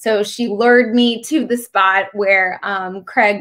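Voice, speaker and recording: Over a quiet background, a woman with an American accent speaks at a medium pitch in a bright, sharp tone, her intonation fairly even. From Maryland's Eastern Shore, US; Maryland. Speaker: beauty pageant contestant; interviewee. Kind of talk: interview. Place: home room. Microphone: video call.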